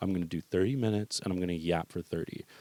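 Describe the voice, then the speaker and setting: Dry and close with no echo, a man's voice has a dark, mellow tone and moves at a fairly quick pace. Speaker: podcast host. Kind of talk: casual solo podcast monologue. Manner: fast; animated.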